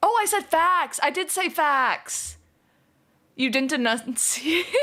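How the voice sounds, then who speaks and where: A woman speaks at a very slow pace in a raised, projected voice with a bright, sharp tone, a high pitch and lively intonation. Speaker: streamer. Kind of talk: casual live stream chat. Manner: slurred, poorly enunciated.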